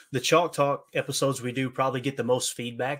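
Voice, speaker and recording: A man with an Appalachian accent talks at a fairly quick pace and a medium pitch. The recording is very clean, with a silent background. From Kentucky, Appalachia. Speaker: football podcaster. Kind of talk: podcast interview, football breakdown. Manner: clips syllables, fast when nerding out.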